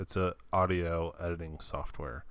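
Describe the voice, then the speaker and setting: A man talks at a fairly slow pace. The recording is very clean, with a silent background. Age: 30s. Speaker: podcast co-host. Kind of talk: casual chat. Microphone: new mic.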